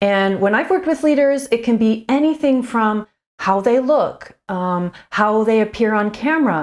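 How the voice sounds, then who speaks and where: The speech moves at a moderate pace with lively intonation and very even loudness. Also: woman, fairly high pitch for a woman. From Canada. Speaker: communications coach. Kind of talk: tutorial. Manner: quiet and reserved.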